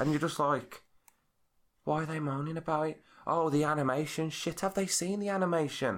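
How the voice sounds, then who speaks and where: Recorded very cleanly with a silent background, a man with an unremarkable speaking voice and a fairly high pitch talks at a fairly quick pace with ordinary pitch variation. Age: 30s. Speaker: early years practitioner and podcast host. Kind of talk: casual chat.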